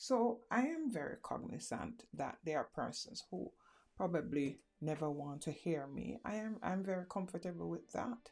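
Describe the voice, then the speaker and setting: A woman's medium-pitched voice with vocal fry, very wide pitch swings and a moderate pace. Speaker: motivational speaker. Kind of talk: motivational talk. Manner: halting.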